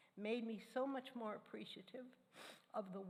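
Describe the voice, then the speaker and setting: Somewhat breathy speech with audible room echo. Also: woman. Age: 80s+. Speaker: church member sharing personal testimony. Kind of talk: sermon.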